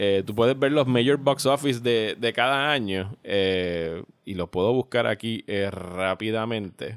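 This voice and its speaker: A man speaks in a normal speaking voice at medium pitch with ordinary pitch variation, at a fairly slow pace with hardly any pauses, on a very clean recording with a silent background and a dry, close sound with no echo. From Puerto Rico. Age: 40. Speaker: podcast host. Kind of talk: casual chat.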